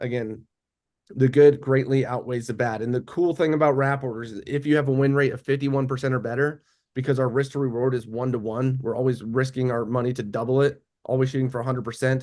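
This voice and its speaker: A man speaks at a very fast pace at a medium pitch with fairly even intonation. The background is quiet. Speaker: trading educator. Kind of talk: live trading webinar tutorial.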